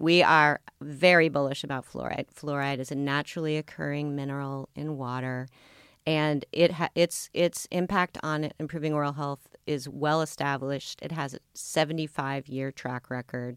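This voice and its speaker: With an American accent, a woman talks at a moderate pace in a very deep, low pitch, her intonation monotone and flat, on a very clean recording with a silent background. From US Pacific Northwest (Seattle). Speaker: health insurance executive. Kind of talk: interview. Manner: hesitant, many fillers.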